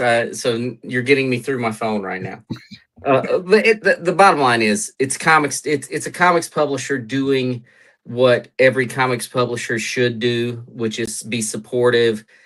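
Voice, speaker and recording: A man with a Carolina accent speaks at a moderate pace and a medium pitch against a quiet background. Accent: Carolina accent, still noticeable. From North Carolina. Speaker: comic book writer. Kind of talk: casual chat.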